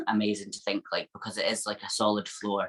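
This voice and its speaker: A woman with a Scottish accent speaks at a moderate pace in an upbeat tone. Her pitch is very deep and low. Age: 20s. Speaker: IFBB fitness pro athlete. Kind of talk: interview answer. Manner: upbeat, positive.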